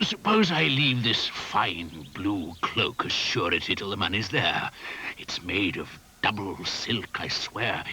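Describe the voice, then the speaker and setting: A man puts on a cartoonish character voice with a fairly low pitch. He delivers it at a fairly slow pace. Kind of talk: puppet show character dialogue in rhyme.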